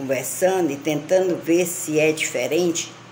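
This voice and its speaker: A woman talks very slowly, with audible room echo and noticeable background noise. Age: 60s. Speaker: lifestyle vlogger. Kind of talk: casual monologue.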